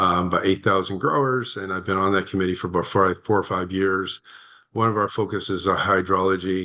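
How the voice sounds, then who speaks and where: In an American accent, a man speaks at a very deep, low pitch with a bright, sharp tone. His intonation is monotone and flat, over a quiet background. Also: fairly quick pace. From Northern California. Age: 60s. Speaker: landowner and protestant at a public hearing. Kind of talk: testimony at a formal hearing. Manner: halting, with many fillers and restarts.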